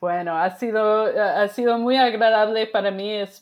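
A woman with an American accent, very slow pace and ordinary pitch variation, on a very clean recording with a silent background. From US Midwest, Wisconsin. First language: English (speaking Spanish). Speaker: sociology professor. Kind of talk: interview. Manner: halting.

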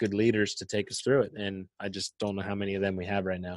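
In an ordinary speaking voice, the speaker goes at a fairly quick pace, with a dry, close sound with no echo and a quiet background. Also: man. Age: 20s. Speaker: podcast co-host, business owner. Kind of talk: casual chat.

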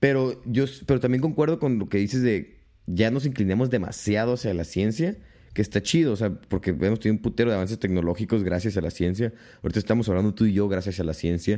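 This man talks at a very fast pace. His tone is dark and mellow, with ordinary pitch variation. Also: fairly low pitch for a man. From Mexico, Tijuana. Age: 20s. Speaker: podcast co-host. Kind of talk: casual chat.

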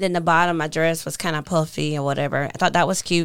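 On a very clean recording with a silent background, a woman talks at a moderate pace in a fairly low voice. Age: 30s. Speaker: podcast co-host. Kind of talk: casual chat.

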